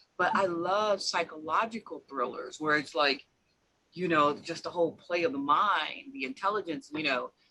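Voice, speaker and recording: A woman with an ordinary speaking voice talks at a moderate pace, her pitch fairly low and her intonation lively. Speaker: author, podcast host. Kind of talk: casual interview conversation.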